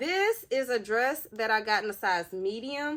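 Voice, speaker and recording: Her tone is animated, with very wide pitch swings. The woman keeps a fairly slow pace. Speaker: mom vlogger doing hauls. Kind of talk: casual unboxing haul vlog. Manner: animated, chatty.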